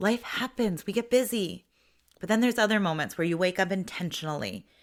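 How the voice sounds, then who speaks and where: An ordinary speaking voice with lively intonation, in a very clean recording with a silent background. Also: woman. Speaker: podcast host. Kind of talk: casual podcast talk. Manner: warm, conversational.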